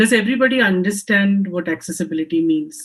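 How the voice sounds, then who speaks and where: Somewhat breathy and fairly quick, a woman speaks with lively intonation. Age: 50s. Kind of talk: panel discussion. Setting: home office video call. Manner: hesitant, frequent ums.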